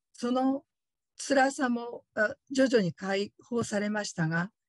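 A woman speaks in a somewhat breathy voice. The sound is dry with no echo, and the background is quiet. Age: 50s. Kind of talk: testimony. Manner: polite, formal. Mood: earnest, reflective. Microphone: video call.

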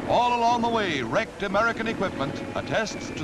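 A man rattles along at a very fast pace amid noticeable background noise. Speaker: newsreel narrator. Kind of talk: newsreel narration. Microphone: old recording.

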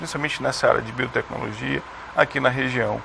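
A man speaks over light background noise. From Rondônia, Brazil. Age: young. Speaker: science agency head, chemist. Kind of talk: TV interview. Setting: studio. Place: studio. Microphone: lapel.

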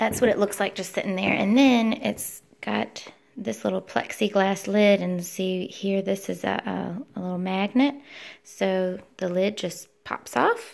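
Her pitch varying in an ordinary way, a woman speaks at a fairly slow pace. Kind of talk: product demonstration. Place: home room. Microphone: phone near.

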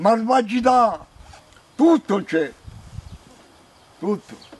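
A man speaks in a Salentino accent at a very slow pace. His pitch is high, and his intonation is lively. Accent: Salentino southern Italian dialect. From Salento, southern Italy (Galatone); Salento, Italy. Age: 70s. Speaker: elderly farm worker. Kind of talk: testimony; interview answer. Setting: outdoors. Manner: animated; halting. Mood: indignant, venting frustration. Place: farm machine.

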